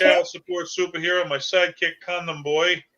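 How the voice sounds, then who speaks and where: High-pitched man with a Boston accent at a moderate pace. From Massachusetts, New England. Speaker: stand-up comedian. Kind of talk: casual interview chat.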